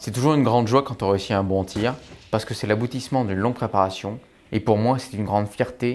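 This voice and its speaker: Here a man with a fairly low pitch talks at a very fast pace. His intonation is fairly even. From France (Brive, Corrèze). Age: 20s. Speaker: army tank platoon lieutenant. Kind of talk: interview testimony (recruitment video).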